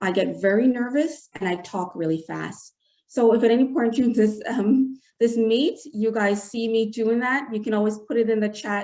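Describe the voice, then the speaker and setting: Moderately paced, this voice carries a dark, mellow tone and ordinary pitch variation. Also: woman, fairly high pitch for a woman. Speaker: webinar host. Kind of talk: webinar discussion.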